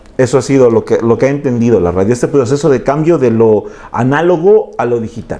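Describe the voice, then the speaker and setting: A man with a dark, mellow tone at a fairly quick pace. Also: medium pitch for a man, ordinary pitch variation. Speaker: interview host. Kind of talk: interview question, casual conversation.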